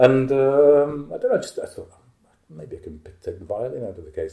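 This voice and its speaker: Here a man talks at a fairly quick pace. He has a northern English accent. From northern England. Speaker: composer and improvising musician. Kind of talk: interview.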